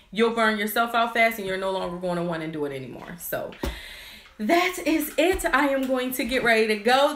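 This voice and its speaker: A woman speaks at a fairly quick pace and a fairly high pitch, with noticeable background noise and audible room echo. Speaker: nail business owner and YouTuber. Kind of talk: live stream chat. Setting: office with crew, live video. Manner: fast.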